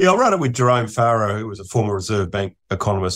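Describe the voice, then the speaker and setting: A man speaks at a very fast pace in an Australian accent, his pitch fairly low. The recording is very clean with a silent background. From Australia, Adelaide. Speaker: economist. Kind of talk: casual interview.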